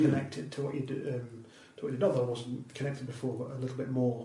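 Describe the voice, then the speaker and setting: Noticeable background noise sits under this recording. A man talks at a very fast pace with a medium pitch. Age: 40s. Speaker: comedian and radio producer. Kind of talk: casual chat. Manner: halting.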